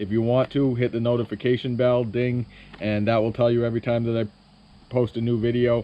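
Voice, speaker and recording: Medium in pitch, this man's voice stays monotone and flat in intonation. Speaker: Christmas tree farmer and YouTuber. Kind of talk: presentation.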